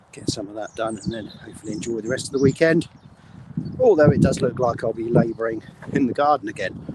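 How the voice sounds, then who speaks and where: Against noticeable background noise, a man talks at a very fast pace in a medium pitch with ordinary pitch variation. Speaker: business owner. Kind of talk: live stream monologue. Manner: breathless.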